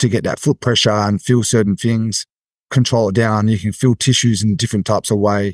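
Fairly quick, monotone, flat speech from a fairly low-pitched man with an Australian accent, dry and close with no echo and a quiet background. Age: 40s. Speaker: athletic development coach. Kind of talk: casual interview.

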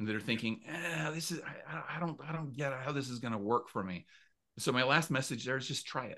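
A man with an American accent, a medium pitch and a bright, sharp tone, at a fairly quick pace over a quiet background. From US Mountain West. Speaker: author and storytelling coach. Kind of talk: casual interview chat. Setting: remote call.

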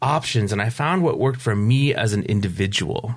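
A man with a plain, everyday voice speaks at a medium pitch and moderate pace, with ordinary pitch variation. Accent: American. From upstate New York. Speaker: recovery coach. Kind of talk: interview.

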